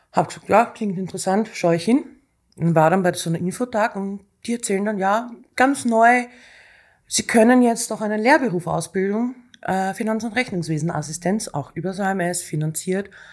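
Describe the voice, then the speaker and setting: At a moderate pace over a quiet background, a woman speaks with ordinary pitch variation. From Austria. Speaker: executive assistant; guest. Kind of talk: casual interview. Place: studio. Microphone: studio mic.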